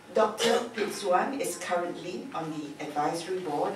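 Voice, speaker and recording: A woman talks at a moderate pace. Audible room echo and noticeable background noise are both present. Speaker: emcee introducing the keynote. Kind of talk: formal speaker introduction. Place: hall.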